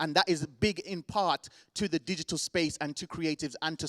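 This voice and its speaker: A man with a Birmingham accent speaks at a fairly quick pace in an animated tone, his pitch fairly high. The recording is very clean, with a silent background and a dry, close sound with no echo. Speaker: event host. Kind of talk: live event hosting.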